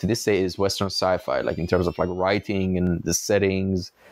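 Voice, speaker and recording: A man's fairly low voice moves at a fairly quick clip on a very clean recording with a silent background. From Iran. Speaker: podcast host. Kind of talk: casual interview.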